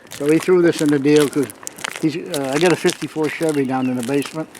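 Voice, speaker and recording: A man with a fairly high pitch, a fairly quick pace and fairly even intonation, over noticeable background noise. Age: 70s. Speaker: car collector. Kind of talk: casual chat.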